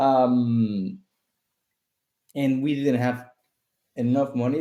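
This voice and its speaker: In a Spanish accent, a man speaks at a fairly slow pace with fairly even intonation. His tone is dark and mellow, and the recording is very clean with a silent background. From southern Mexico (Chiapas). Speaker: startup founder and CEO. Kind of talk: interview.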